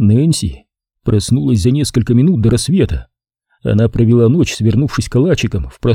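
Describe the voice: Plain reading aloud with a quiet background behind it.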